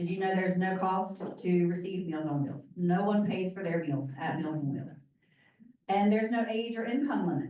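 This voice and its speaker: Audible room echo surrounds a dark, mellow tone. Pitch variation is ordinary and the pace moderate. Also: woman, medium pitch for a woman. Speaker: nonprofit volunteer director. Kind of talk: informational presentation. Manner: loud.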